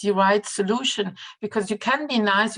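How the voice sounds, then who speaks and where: A woman speaks with a non-native accent. Her pitch sits in the medium range. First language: not English. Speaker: customer support specialist. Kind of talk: webinar interview. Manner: halting, many hesitations.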